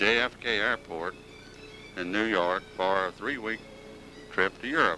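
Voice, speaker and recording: With music in the background, a man at a fairly low pitch speaks at a fairly slow pace with ordinary pitch variation and long, frequent pauses. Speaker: home movie narrator. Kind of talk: home movie narration.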